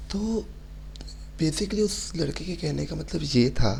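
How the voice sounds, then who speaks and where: A soft-spoken man talks with audible room echo. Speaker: religious content creator. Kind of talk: reply video monologue. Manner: speaks softly.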